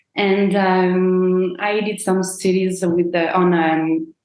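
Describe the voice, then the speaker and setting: A woman talks at a very slow pace. Her voice sits at a medium pitch with ordinary variation. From France, Brittany. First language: French. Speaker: proposal planner, business owner. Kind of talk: podcast interview.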